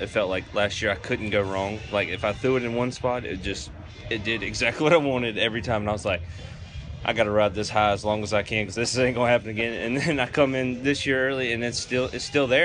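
Music plays in the background while a man with a Southern US accent talks at a very fast pace. His pitch is medium, with ordinary pitch variation. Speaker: baseball relief pitcher. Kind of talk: interview. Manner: casual, filler-heavy, repetitive.

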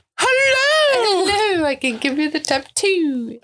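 A put-on character voice in a British accent, pitched extremely high, swinging very widely in pitch and moving at a very slow pace. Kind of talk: posh.

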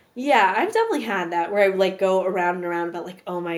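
Speaking very fast in an American accent, a woman with a medium-pitched voice is heard over noticeable background noise and audible room echo. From Brooklyn, New York. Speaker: actress. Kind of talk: casual chat.

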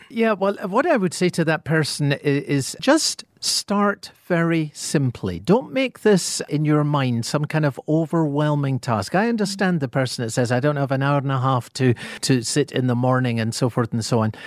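At a moderate pace with hardly any pauses, a man with a Scottish accent speaks at a fairly high pitch with lively intonation, in a dry, close sound with no echo and a very clean recording with a silent background. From Scotland. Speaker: pastor and author. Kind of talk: radio interview about the Bible.

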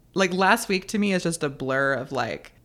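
A woman with an American accent speaks in an ordinary speaking voice at a moderate pace. Her intonation is lively, on a very clean recording with a silent background. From US South, North Carolina. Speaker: author and podcaster. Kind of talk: interview.

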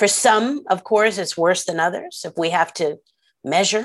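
Using a plain, everyday voice, a woman with an American accent speaks fairly slowly at a medium pitch with lively intonation, in a very clean recording with a silent background. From Philadelphia, US. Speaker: history professor and author. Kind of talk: interview conversation.

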